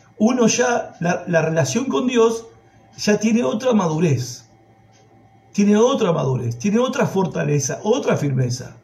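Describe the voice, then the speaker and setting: Fairly slow speech in a Rioplatense accent, with very wide pitch swings, audible room echo and noticeable background noise. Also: man, high pitch for a man. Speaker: preacher. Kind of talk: sermon.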